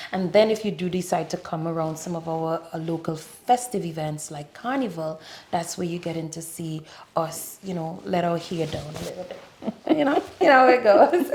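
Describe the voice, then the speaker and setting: A woman talks at a moderate pace with a fairly low pitch, lively intonation and big swings in loudness. Background noise is noticeable. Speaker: tourism board representative. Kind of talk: interview.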